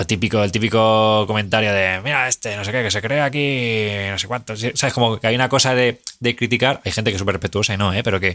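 This man's voice sits fairly low, with a bright, sharp tone. He moves at a fairly quick pace with fairly even intonation. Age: 30s. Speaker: film director. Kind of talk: casual chat.

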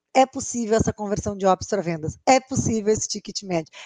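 A woman's fairly high voice at a fairly quick pace, a normal speaking voice, with a dry, close sound and no echo. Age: 40s. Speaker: sales consultant and podcast host. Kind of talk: casual interview chat.

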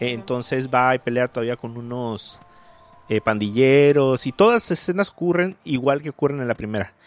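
Fairly quick speech with ordinary pitch variation, a dry, close sound with no echo, and music in the background. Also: man, medium pitch for a man. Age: 30s. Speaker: podcast host. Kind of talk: casual chat.

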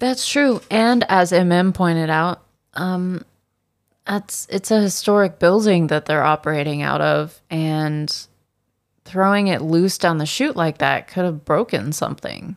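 An ordinary speaking voice, a woman talks at a fairly slow pace and fairly low pitch with ordinary pitch variation in a very clean recording with a silent background. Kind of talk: casual chat. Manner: joking, doing accents.

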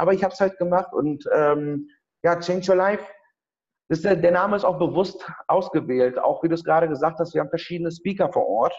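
A man's high-pitched voice holds fairly even intonation. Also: fairly quick pace. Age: 30s. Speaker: event organizer. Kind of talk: interview. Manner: halting.

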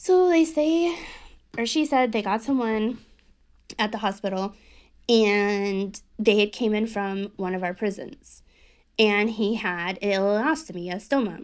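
Pausing long and often, a woman with a fairly high pitch speaks at a fairly slow pace with lively intonation. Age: 40s. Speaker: hairstylist. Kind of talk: casual monologue. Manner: animated.

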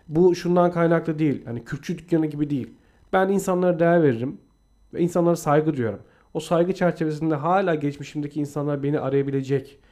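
A man's dark, mellow tone, fairly high in pitch, at a very fast pace with fairly even intonation. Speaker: podcast co-host. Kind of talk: reading aloud; casual chat.

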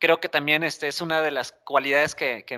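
A man with a bright, sharp tone and fairly high pitch is heard on a very clean recording with a silent background. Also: dry, close sound with no echo. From Mexico, Monterrey. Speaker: podcast co-host, enterprise architect. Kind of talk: casual chat.

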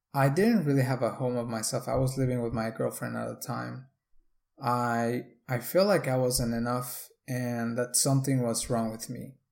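This man has a Spanish accent and a medium pitch. He keeps a moderate pace and fairly even intonation on a very clean recording with a silent background. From Mexico. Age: 20s. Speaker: podcast host. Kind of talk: solo podcast monologue.

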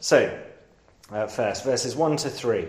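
Here a man with a London accent talks at a very slow pace, his pitch swinging very widely. Noticeable background noise and audible room echo fill the recording. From London, England. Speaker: preacher. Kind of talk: sermon. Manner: hesitant, many fillers.

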